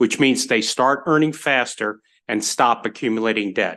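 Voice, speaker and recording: Against a quiet background, a man speaks loudly at a moderate pace. His tone is bright and sharp, with ordinary pitch variation. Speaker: university representative. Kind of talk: testimony. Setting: legislative committee hearing.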